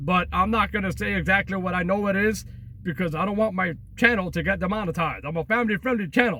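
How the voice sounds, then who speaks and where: A man's high, raised and projected voice at a very fast pace, bright and sharp in tone, with ordinary pitch variation. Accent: Long Island. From Long Island, New York. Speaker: travel and urban exploration vlogger. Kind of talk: casual vlog talk to camera. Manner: highly energetic; repetitive, halting fillers.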